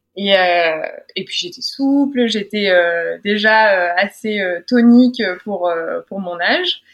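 This woman's voice sits at medium pitch with ordinary pitch variation. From France, Drôme. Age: 20s. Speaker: weightlifter and sports psychologist. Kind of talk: interview testimony.

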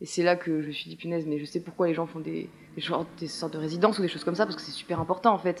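Talking at a very fast pace, a woman with a fairly low pitch keeps her intonation fairly even while her loudness swings widely. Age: 20s. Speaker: theatre student. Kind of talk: casual interview. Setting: apartment with windows open. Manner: hesitant, many fillers.

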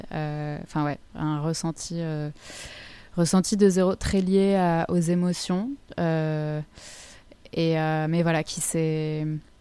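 With long, frequent pauses and a very slow pace, a woman speaks in a dark, mellow tone with fairly even intonation. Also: fairly low pitch for a woman. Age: 20s. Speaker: model and wellness coach. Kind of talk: casual interview. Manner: soft-spoken.

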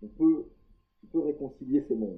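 A man talking at a fairly quick pace. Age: 50s. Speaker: executive coach and engineer. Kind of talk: podcast interview. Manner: hesitant, repeats words.

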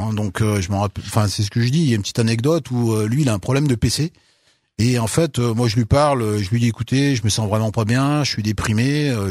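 Delivered at a fairly quick pace, an unremarkable speaking voice shows ordinary pitch variation. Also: man. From France, Loire (Saint-Étienne area). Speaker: author. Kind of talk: interview.

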